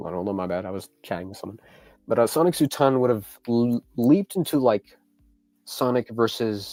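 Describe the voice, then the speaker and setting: Music plays in the background as a man talks at a moderate pace and medium pitch. His intonation is lively, his loudness swings widely, and the sound is dry and close with no echo. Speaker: YouTube content creator. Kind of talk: live stream Q&A. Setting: live stream. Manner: casual, halting.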